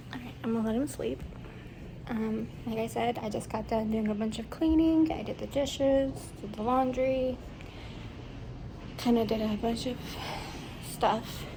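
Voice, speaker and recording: A soft-spoken woman at a moderate pace, with long, frequent pauses and audible room echo. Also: fairly high pitch for a woman, ordinary pitch variation. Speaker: vlogger, new parent. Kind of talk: casual vlog update. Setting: at home. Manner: hesitant with fillers.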